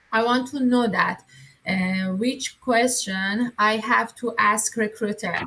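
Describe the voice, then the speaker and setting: Speaking in a Persian accent, a woman with a fairly high pitch goes at a very slow pace with fairly even intonation. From Iran. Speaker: coaching member, job seeker. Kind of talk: asking questions on live call. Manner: halting, many fillers.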